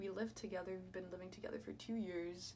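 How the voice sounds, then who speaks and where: A woman's medium-pitched voice in a space with audible room echo. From France and US (Kansas). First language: French. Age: 20s. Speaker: YouTuber and student. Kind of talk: casual chat. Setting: at home, doing makeup. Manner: hesitant, filler-heavy.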